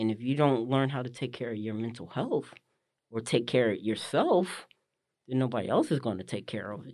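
With an American accent, a man speaks at a fairly quick pace in a normal speaking voice, medium in pitch with ordinary pitch variation. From northern New Jersey. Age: 40s. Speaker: visually impaired abstract painter. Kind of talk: casual interview. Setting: studio.

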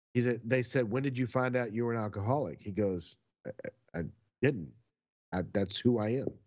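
A man in a medium pitch talks at a fairly quick pace with ordinary pitch variation and an ordinary speaking voice. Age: 50s. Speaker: podcast co-host. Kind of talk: casual chat.

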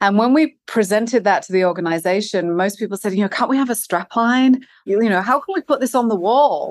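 Against a quiet background, a woman with a non-native accent is heard in a dry, close recording without echo. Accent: non-Californian, foreign-sounding. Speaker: company executive, head of human resources. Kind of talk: interview. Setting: remote recording.

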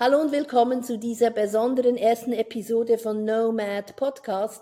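Her tone is dark and mellow, with a fairly high pitch for a woman. She speaks at a fairly slow pace. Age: 50s. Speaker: podcast host, former banker. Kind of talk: casual podcast intro.

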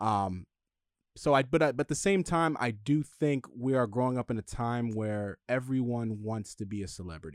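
Recorded with a dry, close sound and no echo, a man in a normal speaking voice talks at a moderate pace with medium pitch and lively intonation. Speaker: studio sound engineer. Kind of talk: casual chat.

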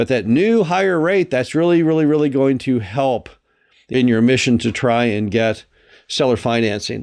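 An ordinary speaking voice moves at a moderate pace with lively intonation and very even loudness over a quiet background. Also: man, medium pitch for a man. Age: 60s. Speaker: podcast host and RV park investor. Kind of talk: solo educational monologue.

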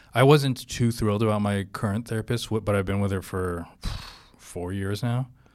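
A man with an American accent speaks in a plain, everyday voice at a fairly low pitch and a moderate pace. His pitch variation is ordinary, and the recording is very clean with a silent background. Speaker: comedy podcast co-host. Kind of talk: casual chat.

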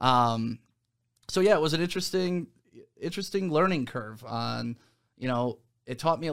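Recorded very cleanly against a silent background, a man uses an ordinary speaking voice with ordinary pitch variation at a moderate pace. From Detroit area, Michigan. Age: 40s. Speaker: radio host. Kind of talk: casual interview. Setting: studio.

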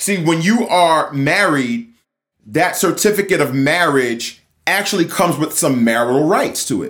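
Lively in intonation, a man with a normal speaking voice talks at a moderate pace and a fairly high pitch. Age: 40s. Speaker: real estate agent and podcast host. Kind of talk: casual monologue.

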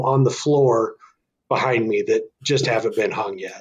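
A somewhat breathy man at a fairly slow pace. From northern Arizona. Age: 40s. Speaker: bowhunter and hunting association volunteer. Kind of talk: casual interview chat.

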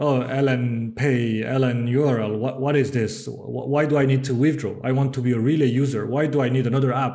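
A man with a French accent talks at a fairly quick pace with hardly any pauses. His medium-pitched voice is dark and mellow, with monotone, flat intonation and very even loudness. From France. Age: 30s. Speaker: tech startup co-founder and CTO. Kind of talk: casual interview.

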